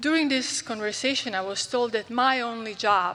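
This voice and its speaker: A woman's bright, sharp voice with fairly even intonation, on a very clean recording with a silent background. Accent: Croatian. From Croatia. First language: Croatian. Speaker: physician. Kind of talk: conference talk. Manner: halting.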